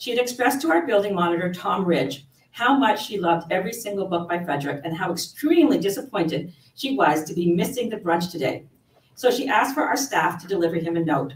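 Her pace is very fast and her pitch swings very widely. The woman is heard with audible room echo. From Canada. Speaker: library events manager. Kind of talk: event introduction and Q&A moderation. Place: hall. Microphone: podium.

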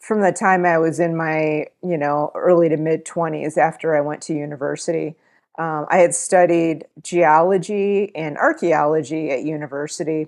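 Speaking at a moderate pace over a quiet background, a woman uses a very deep, low pitch with fairly even intonation. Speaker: interview guest. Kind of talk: interview answer. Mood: calm, friendly. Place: home room. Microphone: earbuds.

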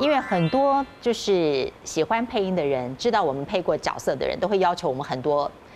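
With music in the background, the voice moves at a moderate pace with hardly any pauses and very wide pitch swings. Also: woman. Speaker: voice actor. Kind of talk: casual chat. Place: studio. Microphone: lapel.

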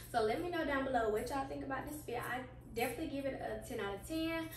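A woman speaks at a very fast pace in a high pitch. Audible room echo and noticeable background noise surround her voice. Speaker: fashion vlogger. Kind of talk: casual try-on haul chat. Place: home room. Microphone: camera far.

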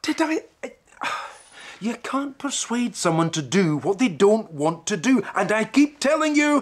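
In a put-on character voice, a man talks at a fairly slow pace, his high pitch taking big swings.

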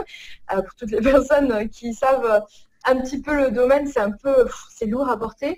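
The background is silent around this woman. Her pace is moderate, and her pitch rises and falls in a normal way. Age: 30s. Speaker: organization coach. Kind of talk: casual interview. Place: home room. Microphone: video call.

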